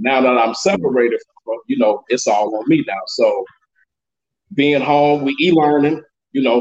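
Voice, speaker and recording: At a moderate pace, a man with an American accent speaks in a fairly high voice with ordinary pitch variation and an unremarkable speaking voice. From Chicago. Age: 40s. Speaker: single father. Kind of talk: casual chat.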